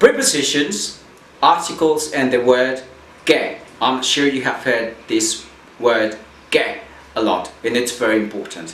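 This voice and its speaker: Amid noticeable background noise and audible room echo, a man speaks at a medium pitch and a fairly slow pace. His intonation is lively, with long, frequent pauses. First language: Spanish. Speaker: Spanish teacher. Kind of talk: lecture. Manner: halting.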